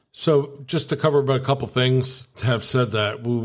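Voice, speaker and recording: On a very clean recording with a silent background, a man with an unremarkable speaking voice talks at a moderate pace with fairly even intonation. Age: 60s. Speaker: podcast co-host. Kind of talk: casual chat.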